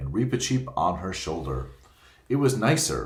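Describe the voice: The speaker is plain reading aloud. The delivery stays plain throughout.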